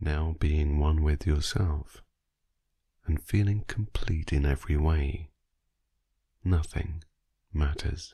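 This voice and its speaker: A man with a very deep, low, somewhat breathy voice speaks very slowly with long, frequent pauses, his tone dark, mellow, soothing and gentle, his intonation fairly even and his loudness very even. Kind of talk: guided sleep meditation. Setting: voice only, no music, recorded for listening in bed. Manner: slow, soft-spoken, soothing; gentle, hushed, drifting with long pauses.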